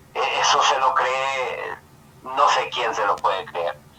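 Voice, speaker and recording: A fairly slow delivery with very wide pitch swings and noticeable background noise. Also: man. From El Salvador. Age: 70s. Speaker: caller. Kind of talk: political commentary call-in. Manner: halting.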